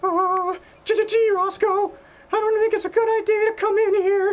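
A squeaky put-on character voice, extremely high in pitch, at a moderate pace with monotone, flat intonation. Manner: stuttering, nervous.

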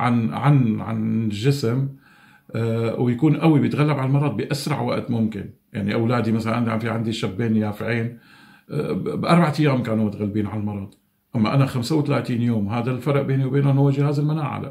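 A man's somewhat breathy voice, dark and mellow in tone, moves at a moderate pace with ordinary pitch variation over a quiet background. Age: 50s. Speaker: COVID-19 survivor. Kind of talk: testimony. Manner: halting. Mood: calm, earnest. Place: home room. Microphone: phone near.

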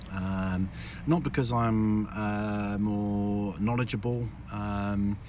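The voice shows ordinary pitch variation, recorded dry with no echo over light background noise. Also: man. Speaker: channel host. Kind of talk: casual vlog chat. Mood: relaxed, chatty. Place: car.

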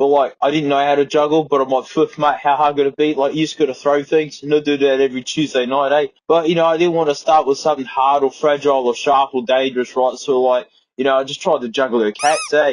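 In an Australian accent, a man with a fairly high voice speaks very fast, with fairly even intonation and hardly any pauses. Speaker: YouTuber. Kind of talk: casual anecdote while testing a microphone. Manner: laid-back, rambling.

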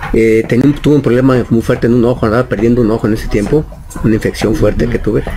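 A man talks at a very fast pace with very even loudness and fairly even intonation. Light background noise sits behind him. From Guadalajara, Mexico. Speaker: rock guitarist. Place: shop. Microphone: studio mic.

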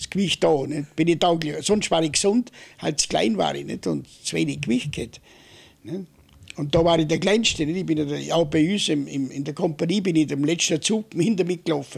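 Against a quiet background, a man with vocal fry speaks at a fairly high pitch with ordinary pitch variation. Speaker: war veteran. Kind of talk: oral history interview. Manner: halting. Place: home room. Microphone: studio mic.

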